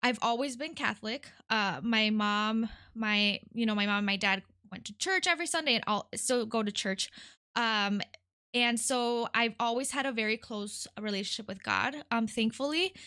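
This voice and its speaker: With a Spanish accent, a woman speaks at a fairly high pitch in a bright, sharp tone. The background is quiet. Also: ordinary pitch variation, moderate pace. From Detroit, Michigan (from age 8; born in California). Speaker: nonprofit worker. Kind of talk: podcast interview, personal testimony. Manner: frequent hesitations (um).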